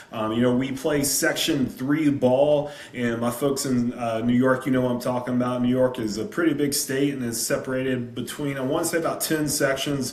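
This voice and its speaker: A Southern US accent at a moderate pace with hardly any pauses, plus audible room echo and noticeable background noise. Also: man, medium pitch for a man. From South Carolina. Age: 30s. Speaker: high school football coach. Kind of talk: presentation on a video call. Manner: animated.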